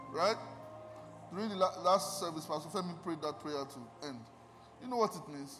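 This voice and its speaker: A man with a high-pitched voice at a moderate pace, long and frequent pauses, and music in the background. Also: lively intonation. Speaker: guest preacher and music minister. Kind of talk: sermon. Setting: church with congregation. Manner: animated.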